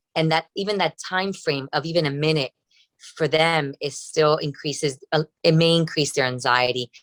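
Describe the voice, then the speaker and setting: A woman speaks with a Spanish accent in a very deep, low voice at a moderate pace. Her intonation stays fairly even, and the sound is dry and close with no echo. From Cuba. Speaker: breast surgeon. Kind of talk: interview. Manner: hesitant, many fillers.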